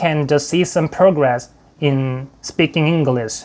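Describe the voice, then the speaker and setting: At a very slow pace, a man with a Korean accent speaks at a fairly high pitch. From South Korea. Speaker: YouTuber. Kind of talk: tutorial.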